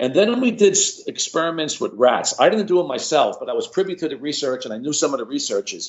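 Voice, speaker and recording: A man with an American accent rattles along at a very fast pace with hardly any pauses. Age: 70s. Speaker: cardiologist. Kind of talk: podcast interview. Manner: animated.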